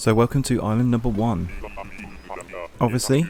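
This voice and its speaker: Music plays in the background as a man speaks. His medium-pitched voice keeps a fairly even intonation. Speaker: gaming content creator. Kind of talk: casual let's play commentary.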